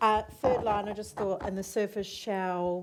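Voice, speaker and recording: Speaking with an Australian accent, a woman keeps a moderate tempo. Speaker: assessment panel member. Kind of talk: formal council meeting. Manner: loud.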